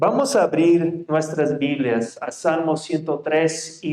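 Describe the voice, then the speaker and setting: Speaking very slowly, a man talks with a fairly high pitch. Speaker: pastor. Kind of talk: sermon. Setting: church.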